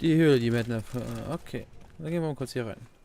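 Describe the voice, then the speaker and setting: A medium-pitched man talks with ordinary pitch variation at a moderate pace. Noticeable noise fills the background. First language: Luxembourgish (speaking German). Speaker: let's play gamer. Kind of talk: gameplay commentary. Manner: halting.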